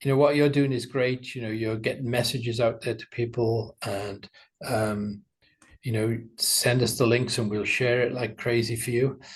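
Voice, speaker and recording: The speaker has a British accent, a somewhat breathy voice and ordinary pitch variation. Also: man. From UK. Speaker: animation studio owner. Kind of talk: interview.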